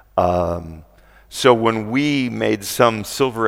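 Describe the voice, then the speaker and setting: This man speaks at a fairly low pitch with vocal fry and ordinary pitch variation. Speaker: animation writer and producer. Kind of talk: panel talk. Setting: convention stage with audience.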